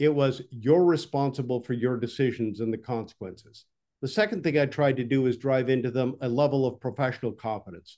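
With a General American accent, a man speaks in a dark, mellow tone with ordinary pitch variation. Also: medium pitch for a man, fairly quick pace. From US West, Nevada. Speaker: retired navy officer. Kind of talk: interview. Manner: articulate, no filler words; direct, measured.

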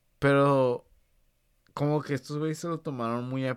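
A man at a fairly slow pace, on a very clean recording with a silent background. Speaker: football podcast host. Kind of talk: casual chat. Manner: animated.

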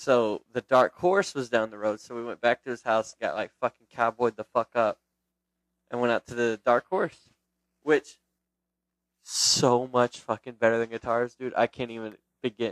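A man's unremarkable speaking voice at medium pitch, with ordinary pitch variation, big swings in loudness and a moderate pace, in a dry, close sound with no echo. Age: 20s. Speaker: podcast co-host. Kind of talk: casual chat.

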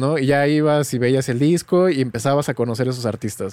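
On a very clean recording with a silent background, a man with a Mexican accent speaks at a fairly quick pace with ordinary pitch variation. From Mexico, small town. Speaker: music producer and tutorial creator. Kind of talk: casual interview chat.

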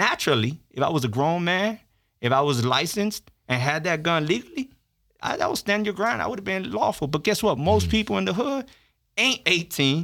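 Over a very clean recording with a silent background, a bright, sharp voice in an American accent moves at a fairly quick pace with very wide pitch swings. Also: man, high pitch for a man. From Miami, Florida (Little Havana). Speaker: formerly incarcerated policy analyst, law graduate. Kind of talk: casual interview storytelling.

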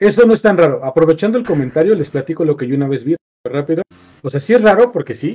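This man talks with lively intonation and a dark, mellow tone. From central Mexico, State of Mexico (Nopaltepec). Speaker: podcast host. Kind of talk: casual chat.

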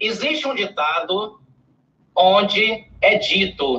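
A man's raised, projected voice. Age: 50s. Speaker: dentist and public speaking mentor. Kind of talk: interview on a live stream.

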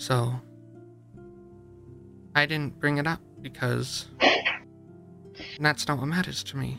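Doing a put-on character voice, a man speaks slowly with vocal fry, a fairly high pitch and a bright, sharp tone while faint music plays in the background. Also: fairly even intonation.

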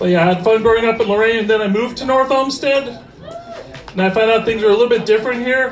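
A man with an American accent at an extremely high pitch and very fast pace, intonation fairly even, over noticeable background noise. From US Midwest (Ohio). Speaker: stand-up comedian. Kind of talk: stand-up. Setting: stage with audience.

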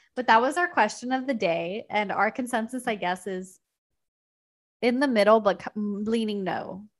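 A woman's unremarkable speaking voice, fairly high in pitch, at a moderate pace with ordinary pitch variation. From Indian-American. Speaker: podcast co-host. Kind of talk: casual chat.

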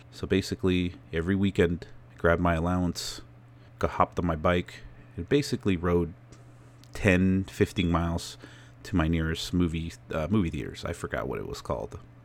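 In a very clean recording with a silent background, a man with an American accent speaks at a fairly quick pace in a very deep, low pitch with ordinary pitch variation. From California, then Phoenix area, Arizona. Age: 30s. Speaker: podcaster. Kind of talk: casual solo monologue.

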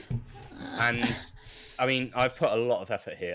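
A man's medium-pitched voice over music in the background. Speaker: quiz adjudicator and music round maker. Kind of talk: live stream casual chat. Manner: sarcastic, joking.

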